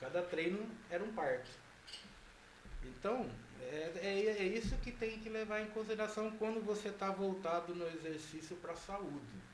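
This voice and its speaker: A man with a high voice talks at a fairly slow pace with ordinary pitch variation and long, frequent pauses, amid audible room echo and noticeable background noise. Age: 60s. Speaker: physical education professor and gym director. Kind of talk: interview.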